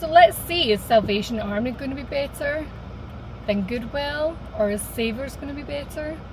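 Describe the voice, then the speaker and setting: A woman speaks at a high pitch and a moderate pace, her intonation lively and her loudness swinging widely. Room echo is audible, and background noise is noticeable. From Scotland. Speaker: vlogger. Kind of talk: casual vlog monologue. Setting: in a car.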